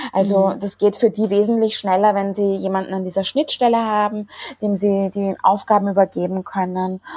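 In a dark, mellow tone, a woman speaks with monotone, flat intonation at a moderate pace. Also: medium pitch for a woman. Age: 30s. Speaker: marketing agency founder. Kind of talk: interview.

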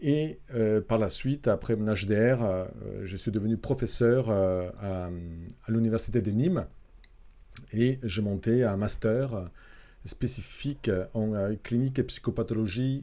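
A man speaks at a fairly slow pace with long, frequent pauses. His medium-pitched voice has a dark, mellow tone and ordinary pitch variation. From Italy. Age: 50s. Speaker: psychology professor and clinical psychologist. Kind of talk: interview. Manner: halting, many fillers.

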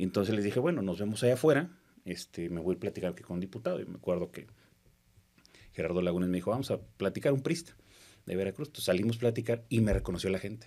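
At a very fast pace, a man speaks at a fairly low pitch with lively intonation. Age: 40s. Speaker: politician. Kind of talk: casual interview.

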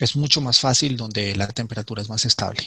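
A man talks at a moderate pace in a medium pitch. His tone is bright and sharp, with ordinary pitch variation. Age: 40s. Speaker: ant keeper and YouTube creator. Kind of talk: interview. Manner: halting, with repetitions.

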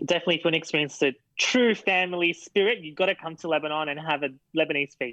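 This man talks at a very fast pace, his fairly high pitch showing ordinary variation. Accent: Australian. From Sydney, Australia. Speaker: guest. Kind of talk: casual chat. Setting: video call.

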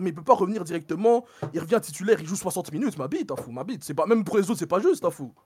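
A man's words come at a very fast pace. Everything is captured in a very clean recording against a silent background. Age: 20s. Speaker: communication student. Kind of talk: opinion monologue.

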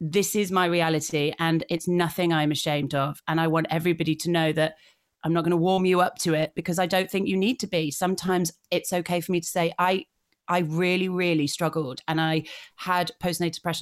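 A woman with a Yorkshire accent talks very fast at a fairly low pitch, with monotone, flat intonation and very even loudness, on a very clean recording with a silent background. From northern England, North Yorkshire. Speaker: blogger and digital creator. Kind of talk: interview.

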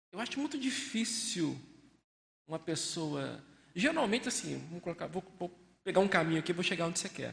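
A man with a high pitch speaks at a moderate pace. His intonation is lively, broken by long, frequent pauses. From Brazil, Belo Horizonte (Minas Gerais). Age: 50s. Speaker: researcher and volunteer lecturer. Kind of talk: discussion talk with audience questions. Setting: live event with audience, wearing masks.

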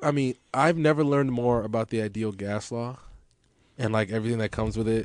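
A man talks in an ordinary speaking voice at a medium pitch and a fairly quick pace, with ordinary pitch variation. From Los Angeles, US. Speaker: podcast host. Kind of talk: casual chat, podcast conversation. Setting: studio at a radio station.

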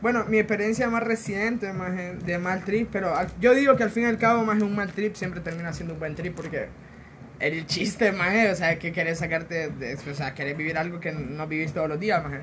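A man with a Honduran accent, a high pitch, ordinary pitch variation and a fairly quick pace. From Honduras. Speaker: podcast co-host. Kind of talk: casual chat.

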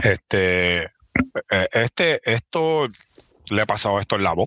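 The sound is dry and close with no echo. A man speaks in a bright, sharp tone with lively intonation. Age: 40s. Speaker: podcast host. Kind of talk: casual chat.

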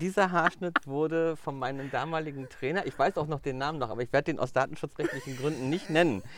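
An unremarkable speaking voice, a man's, pitched fairly high and ordinary in pitch variation. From Mecklenburg-Vorpommern, Germany. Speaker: hairdresser and color trainer. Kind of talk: casual interview. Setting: outdoors in a garden.

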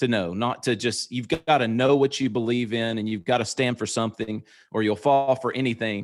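On a very clean recording with a silent background, a man with a Southern US accent speaks at a medium pitch and a moderate pace. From US South. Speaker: pastor and podcast co-host. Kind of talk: casual interview.

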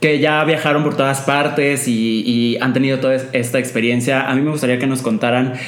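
The speech moves at a moderate pace with fairly even intonation, against noticeable background noise. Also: man. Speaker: podcast host. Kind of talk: casual roundtable chat.

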